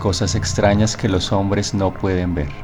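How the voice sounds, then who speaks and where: Music plays in the background. A man speaks at a fairly low pitch and a fairly slow pace. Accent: Latin American. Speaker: narrator. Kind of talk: horror story narration.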